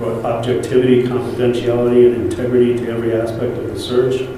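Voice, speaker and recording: The speech moves at a fairly quick pace. There is strong room echo and light background noise. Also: man. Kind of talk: reading a letter aloud at a meeting. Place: hall.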